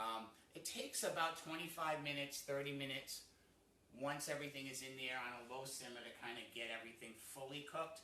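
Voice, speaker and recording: In a Rhode Island accent, a man talks fairly quickly at a medium pitch with ordinary pitch variation and a bright, sharp tone, the room echo clearly audible. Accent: New England (Rhode Island) American. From New England, US. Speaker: cooking show host. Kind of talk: cooking tutorial. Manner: casual, with many fillers.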